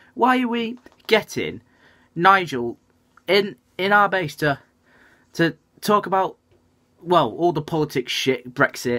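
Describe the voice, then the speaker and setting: A man's raised, projected voice, high in pitch, bright and sharp, with very wide pitch swings, a fairly slow pace and long, frequent pauses over a quiet background. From northern England. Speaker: football fan vlogger. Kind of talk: casual vlog commentary. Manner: fuming, indignant rant about politics in his club; halting, filler-heavy with frequent ums. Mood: annoyed, ranting. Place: home room. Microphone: webcam.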